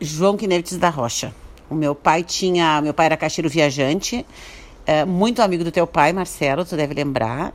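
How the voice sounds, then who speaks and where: A woman speaks in an unremarkable speaking voice, fairly low in pitch, with ordinary pitch variation at a moderate pace. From Brazil, Santo Antônio da Patrulha, Rio Grande do Sul. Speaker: businesswoman and writer. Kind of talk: radio interview.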